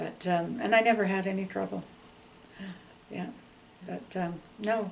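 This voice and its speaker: Over noticeable background noise, a woman with a Canadian accent speaks at a medium pitch with fairly even intonation. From Canada, Ontario (Ottawa). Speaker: longtime local resident. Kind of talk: oral history interview. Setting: interview. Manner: chatty, many fillers.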